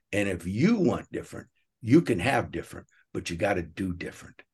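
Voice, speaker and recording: Against a quiet background, a man speaks at a fairly low pitch. His voice is somewhat breathy and his pace fairly quick. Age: 60s. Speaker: company executive. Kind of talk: interview.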